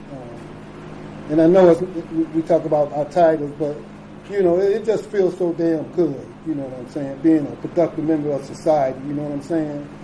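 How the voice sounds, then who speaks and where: A man's fairly high voice moves at a moderate pace with fairly even intonation, and noticeable background noise runs beneath it. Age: 60s. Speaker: recovery speaker. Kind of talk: recovery share talk. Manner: halting with many fillers.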